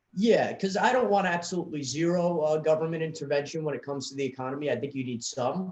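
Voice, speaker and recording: This voice has a New York accent. The pace is very fast. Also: man. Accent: New York accent, noticeable. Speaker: student political club leader. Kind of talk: casual interview chat.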